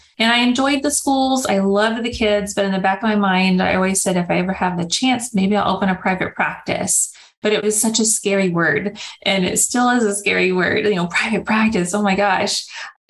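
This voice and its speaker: The speaker moves at a fairly quick pace with hardly any pauses, very even loudness and ordinary pitch variation. Noticeable background noise sits underneath. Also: woman, medium pitch for a woman. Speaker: speech therapist. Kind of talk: interview.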